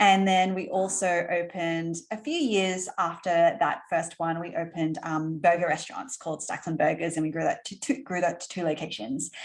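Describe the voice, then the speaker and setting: A fairly low-pitched woman's voice with an Australian accent, at a moderate pace with hardly any pauses. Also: ordinary pitch variation. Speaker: entrepreneur. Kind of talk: interview. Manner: casual, filler-heavy.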